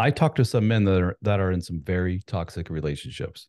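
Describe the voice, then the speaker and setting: Very deep and low, a man's dark, mellow voice moves at a fairly quick pace with ordinary pitch variation. The sound is dry and close with no echo over a quiet background. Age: 40s. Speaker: author and men's coach. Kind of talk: casual interview chat.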